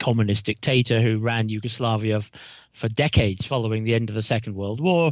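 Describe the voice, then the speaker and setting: Speaking at a medium pitch, the man has a British accent. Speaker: retired diplomat. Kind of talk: interview.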